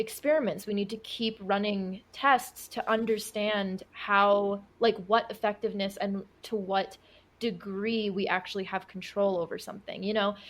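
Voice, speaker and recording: Speaking in a plain, everyday voice at medium pitch, a woman keeps a moderate pace with hardly any pauses. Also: fairly even intonation. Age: 20s. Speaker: occult and witchcraft content creator. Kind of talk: podcast interview answer.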